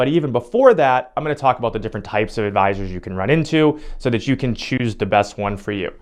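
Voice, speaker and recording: Over a quiet background, a man talks at a very fast pace in an upbeat tone, using lively intonation at a medium pitch. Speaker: financial advisor. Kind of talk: educational talk to camera. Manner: casual, upbeat.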